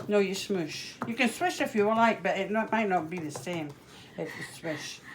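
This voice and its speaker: A woman with a Scottish accent at a moderate pace, medium pitch and lively intonation. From Scotland, Edinburgh. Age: 70s. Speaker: home cook demonstrating a recipe. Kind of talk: cooking demonstration.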